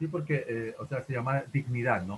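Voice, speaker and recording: A man with a normal speaking voice, a fairly quick pace and ordinary pitch variation. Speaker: teacher. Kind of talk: online class discussion.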